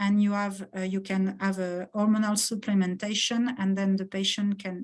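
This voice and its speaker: Somewhat breathy, a woman speaks at medium pitch. Her fairly slow delivery stays flat and monotone. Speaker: pediatric oncologist. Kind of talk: research presentation. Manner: halting, many hesitations.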